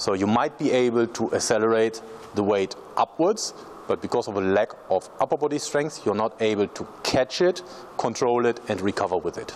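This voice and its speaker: Noticeable background noise sits behind a man's medium-pitched voice. He speaks at a moderate pace with lively intonation. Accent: German. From Germany. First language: German. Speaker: strength coach. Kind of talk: tutorial.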